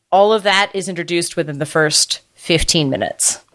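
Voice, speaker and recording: A woman with a normal speaking voice talks at a moderate pace, with a fairly low pitch and ordinary pitch variation. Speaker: podcast co-host. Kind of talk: casual chat.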